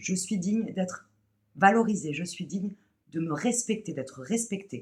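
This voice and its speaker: A woman speaks at a medium pitch with vocal fry. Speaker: spiritual channeler. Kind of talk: channeled spiritual message. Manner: hesitant, many fillers and repeats.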